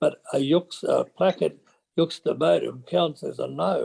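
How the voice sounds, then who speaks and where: With an Australian accent, a man comes across in a dry, close sound that has no echo. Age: 80s+. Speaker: retired schoolmaster. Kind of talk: webinar discussion.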